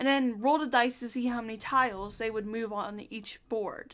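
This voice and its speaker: Here a woman speaks in a high voice. The recording is very clean, with total background silence. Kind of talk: scripted video essay narration.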